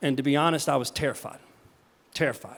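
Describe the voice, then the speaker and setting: This is a man talking. He has a Southern US accent. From US South, the Carolinas. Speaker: charity founder, keynote speaker. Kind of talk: keynote talk. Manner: halting, repeats words.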